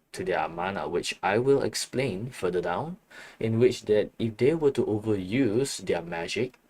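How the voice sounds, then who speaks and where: At a fairly slow pace, a man speaks at medium pitch in a very clean recording with a silent background. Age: 30s. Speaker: art livestreamer and worldbuilder. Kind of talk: casual livestream chat explaining worldbuilding. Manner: halting, many fillers and restarts.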